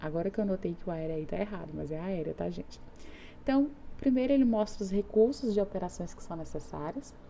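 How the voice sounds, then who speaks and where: Woman's voice of medium pitch and dark, mellow tone, lively in intonation, at a fairly quick pace. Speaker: teacher. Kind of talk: lecture.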